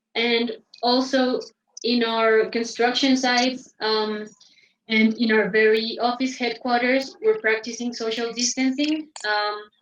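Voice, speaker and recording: A woman speaks with a Spanish accent at a high pitch. Her pace is fairly slow and her intonation monotone and flat. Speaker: interpreter. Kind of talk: interpreting. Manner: halting, many fillers.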